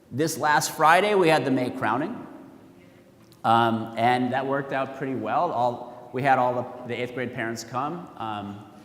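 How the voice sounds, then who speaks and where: A man talks at a fairly slow pace with a medium pitch and ordinary pitch variation, amid noticeable background noise and audible room echo. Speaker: school principal. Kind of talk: parent meeting address. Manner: casual, with fillers.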